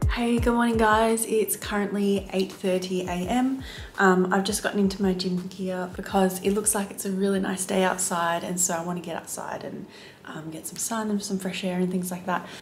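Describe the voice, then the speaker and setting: The speech comes in an Australian accent at a moderate pace. It is monotone and flat, over light background noise. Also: woman, medium pitch for a woman. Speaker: flight attendant. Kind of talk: casual vlog talk to camera. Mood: cheerful, relaxed. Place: home room. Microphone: phone near.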